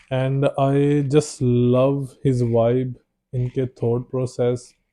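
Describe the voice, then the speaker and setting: A man with a Punjabi accent, medium in pitch, in a flat monotone. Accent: Punjabi-accented Hindi. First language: Punjabi (speaking Hindi). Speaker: podcast host. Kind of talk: podcast interview.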